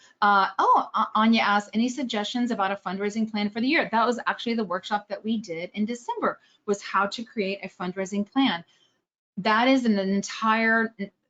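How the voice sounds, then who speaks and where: This speaker talks with an American accent and ordinary pitch variation. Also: woman. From Texas, Austin. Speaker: fundraising trainer. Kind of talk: webinar presentation. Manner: fast; clearly enunciated.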